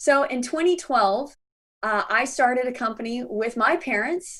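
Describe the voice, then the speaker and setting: In an American accent, a woman speaks in an animated tone. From US South. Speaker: business consultant and conference speaker. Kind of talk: workshop presentation. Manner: fast.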